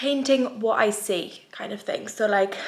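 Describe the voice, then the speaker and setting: Over noticeable background noise, a woman speaks with an English accent. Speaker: vlogger and small business owner. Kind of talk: casual vlog talk. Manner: chatty, filler-heavy.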